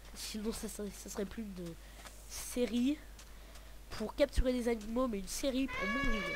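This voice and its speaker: Long, frequent pauses at a moderate pace, with noticeable background noise. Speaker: gaming youtuber. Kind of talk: let's play commentary. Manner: sometimes soft-spoken; hesitant.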